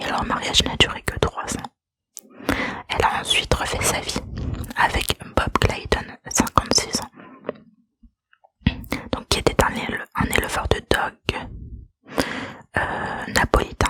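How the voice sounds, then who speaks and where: A woman whispering at a very slow pace, with long, frequent pauses and a dry, close sound with no echo. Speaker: ASMR creator. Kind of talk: true crime narration. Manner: whispered, soft-spoken.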